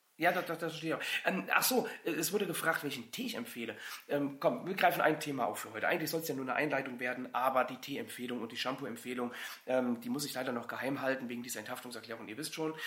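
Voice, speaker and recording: Pitched fairly high, a male voice races along at a very fast pace. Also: ordinary pitch variation. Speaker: insurance broker, podcast host. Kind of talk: casual chat.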